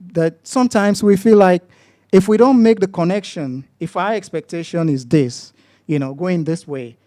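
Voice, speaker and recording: Dry and close with no echo, the recording catches a man's high, dark, mellow voice with lively intonation at a moderate pace. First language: non-English mother tongue. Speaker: lay preacher. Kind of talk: sermon. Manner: halting, many fillers and restarts.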